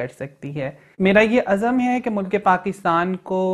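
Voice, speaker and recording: Against a quiet background, a woman is talking. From Okara, Punjab, Pakistan; Punjab, Pakistan. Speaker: transgender rights activist. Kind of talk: news interview statement. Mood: proud, earnest. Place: office.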